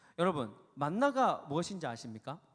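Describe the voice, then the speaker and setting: A man at a fairly high pitch and moderate pace, with very wide pitch swings. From South Korea, Gyeongsang region. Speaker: youth pastor. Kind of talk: sermon.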